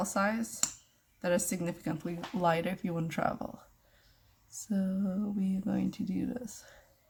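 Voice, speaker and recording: A woman with a normal speaking voice at medium pitch, ordinary pitch variation and a moderate pace. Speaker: beauty vlogger. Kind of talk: tutorial. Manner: casual.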